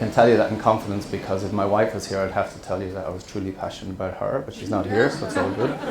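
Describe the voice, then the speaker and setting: Talking at a very fast pace with an Irish accent, a man with a fairly low pitch is heard through audible room echo and noticeable background noise. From central Ireland, small town. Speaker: scuba diver and wreck explorer, presenter. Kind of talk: presentation to an audience. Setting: stage with audience. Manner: hesitant, many fillers.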